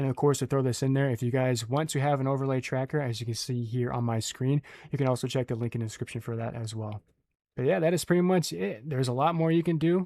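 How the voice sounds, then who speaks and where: Talking at a very fast pace, a man has a medium pitch. His tone is dark and mellow. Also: ordinary pitch variation. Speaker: gaming youtuber. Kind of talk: tutorial. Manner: casual.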